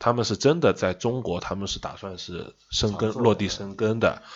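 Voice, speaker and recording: Fairly low in pitch, a man with a Shanghai accent keeps his intonation fairly even. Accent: Shanghai-accented Mandarin. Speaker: car industry commentator. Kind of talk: casual chat.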